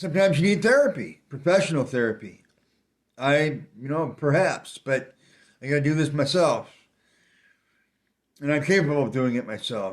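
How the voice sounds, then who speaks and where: A man with a fairly high voice speaks at a moderate pace with long, frequent pauses, in a very clean recording over a silent background. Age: 60s. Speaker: video blogger. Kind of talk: casual monologue. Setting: walking around while recording. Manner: halting, repetitive.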